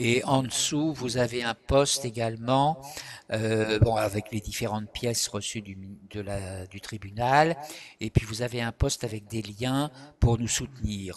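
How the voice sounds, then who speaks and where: A man speaks very slowly at a medium pitch with fairly even intonation. His loudness swings widely. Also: quiet background. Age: 70s. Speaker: retired psychosociologist and activist. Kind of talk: interview. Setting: live stream. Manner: hesitant, many filler words.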